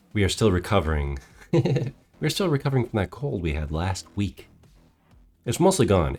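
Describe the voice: Over background music, a man puts on a gravelly character voice, very deep and low, with very wide pitch swings. He keeps a moderate pace, broken by long, frequent pauses.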